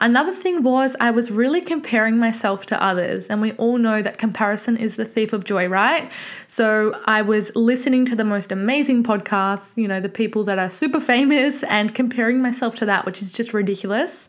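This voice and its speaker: In an Australian accent, the speaker rattles along at a fairly quick pace with hardly any pauses, an animated tone and ordinary pitch variation. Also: woman, fairly high pitch for a woman. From Victoria, Australia. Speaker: podcast host, online fitness coach. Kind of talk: casual solo monologue. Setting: home office.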